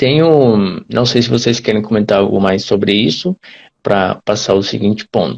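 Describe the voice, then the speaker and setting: With a Brazilian accent, a man speaks at a moderate pace in a fairly low pitch, with ordinary pitch variation and very even loudness. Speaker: Portuguese teacher. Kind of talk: live-stream conversation.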